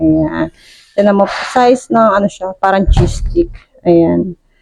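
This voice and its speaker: A woman at medium pitch with an animated tone. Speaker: cooking vlogger. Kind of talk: casual cooking vlog. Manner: chatty, animated.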